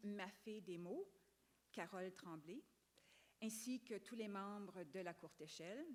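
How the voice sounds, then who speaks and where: Speaking very slowly with an English accent, a woman leaves long, frequent pauses. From Quebec. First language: English (speaking French). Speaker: children's book author. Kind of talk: acceptance speech. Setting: stage with audience.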